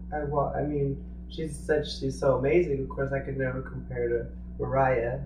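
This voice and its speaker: A man talks at a moderate pace. The recording has audible room echo and noticeable background noise. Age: young. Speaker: singer-songwriter. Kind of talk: interview. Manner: halting.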